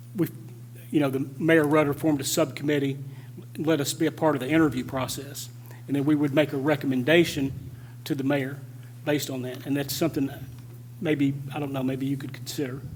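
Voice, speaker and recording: At a fairly quick pace but with long, frequent pauses, a man speaks in a fairly high, monotone, flat voice, with audible room echo and noticeable background noise. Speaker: city council member. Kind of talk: council meeting discussion. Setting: council meeting. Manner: fast.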